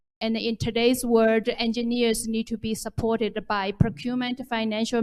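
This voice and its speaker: In a Chinese accent, a woman speaks fairly slowly at a fairly high pitch with monotone, flat intonation. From China. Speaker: development bank official, panelist. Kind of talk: panel discussion. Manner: halting, repeats words.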